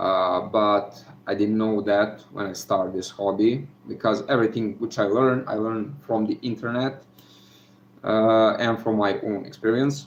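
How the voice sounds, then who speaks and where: Here a man with a Serbian accent speaks at a moderate pace. His pitch is fairly low and his intonation fairly even. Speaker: gold recovery hobbyist youtuber. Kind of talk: live stream chat. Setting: live video from home. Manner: halting, many fillers.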